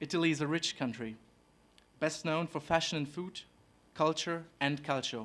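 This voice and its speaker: Recorded very cleanly with a silent background, a man with a German accent speaks at a moderate pace in a fairly high pitch, with ordinary pitch variation and long, frequent pauses. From Germany, Hamburg. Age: 20s. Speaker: exchange student. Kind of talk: prepared speech. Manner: formal.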